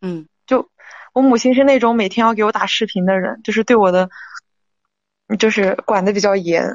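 A fairly high female voice with ordinary pitch variation, a moderate pace, and long, frequent pauses. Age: 20s. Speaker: caller seeking relationship advice. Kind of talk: advice call-in. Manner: halting.

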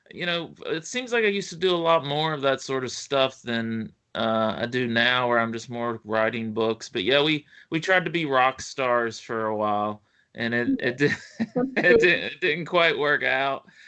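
With a strong Appalachian accent, a man speaks fairly slowly in a fairly high pitch and lively intonation. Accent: Appalachian US, thick. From West Virginia, US. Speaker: author. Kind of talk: casual interview.

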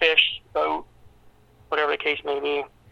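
The pace is fairly quick. This man talks with an American accent. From Pennsylvania. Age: young. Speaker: small-town mayor. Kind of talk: interview. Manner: halting, with many fillers and repeats.

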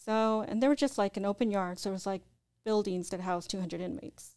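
Soft-spoken and at a fairly quick pace, a woman talks at a medium pitch with fairly even intonation on a very clean recording with a silent background. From Southern California, Orange County. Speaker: spiritual practitioner, former mortician and corrections officer. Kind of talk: interview.

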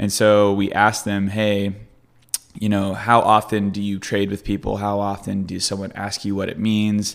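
A man with a fairly low pitch talks at a moderate pace in a monotone, flat intonation. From Kentucky, near Louisville. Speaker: entrepreneur center manager. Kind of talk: casual interview chat.

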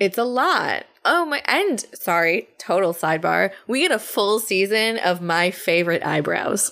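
A woman with an ordinary speaking voice and an American accent speaks at a medium pitch and a fairly slow pace, with hardly any pauses, very even loudness and lively intonation. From New Jersey. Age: 30s. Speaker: podcast co-host. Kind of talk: casual chat.

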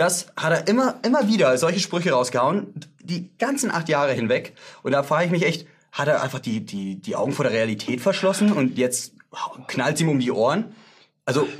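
Fairly high-pitched for a man, this voice swings very widely in pitch. He talks at a fairly quick pace. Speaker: comedy show host. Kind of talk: satirical comedy chat. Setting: studio.

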